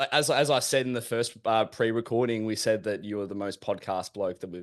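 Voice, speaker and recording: Here a man with an Australian accent speaks at a fairly quick pace and medium pitch. His pitch varies in an ordinary way over a quiet background. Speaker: podcast host. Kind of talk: casual chat.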